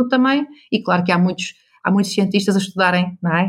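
A woman's somewhat breathy, medium-pitched voice at a fairly quick pace. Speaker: business coach. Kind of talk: interview. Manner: animated.

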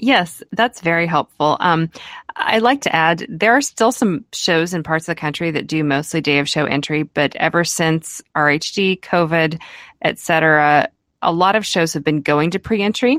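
This woman's fairly low-pitched voice moves at a moderate pace with lively intonation, and she has a plain, everyday voice. The recording is very clean with a silent background and a dry, close sound with no echo. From Kansas. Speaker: rabbit breeder and podcast co-host. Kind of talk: casual chat.

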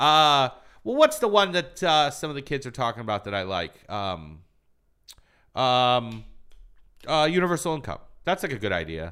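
Captured in a very clean recording with a silent background, a man with a Midwestern US accent and a bright, sharp tone speaks at a moderate pace, with very wide pitch swings and long, frequent pauses. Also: medium pitch for a man. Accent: US Midwest. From Michigan, born in Iran. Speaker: stand-up comedian. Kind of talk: casual chat. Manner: sounds like smiling.

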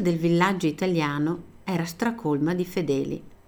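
A woman's fairly low voice with a dark, mellow tone. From Italy, Veneto. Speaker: teacher. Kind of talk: scripted narration. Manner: slow.

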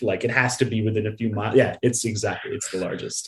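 A man is speaking. His voice is somewhat breathy. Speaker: podcast co-host. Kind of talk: casual chat.

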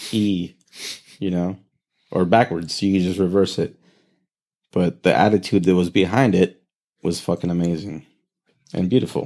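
In an American accent, the voice has a dark, mellow tone and fairly even intonation, moving at a moderate pace with long, frequent pauses. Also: man, very deep, low pitch for a man. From US West Coast, Oxnard, California. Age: 30s. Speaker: musician and artist. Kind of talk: casual chat.

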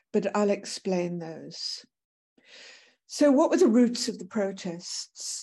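A woman speaks at a very slow pace with medium pitch and a dark, mellow tone. The background is quiet. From Britain. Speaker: professor. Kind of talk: lecture. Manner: halting.

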